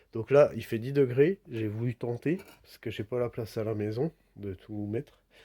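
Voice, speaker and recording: The voice is soft-spoken, with a dark, mellow tone and ordinary pitch variation. The recording is very clean and dry, close with no echo, over a silent background. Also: man. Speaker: DIY hobbyist restoring a clock. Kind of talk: casual tutorial voiceover. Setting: at home. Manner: halting, many hesitations.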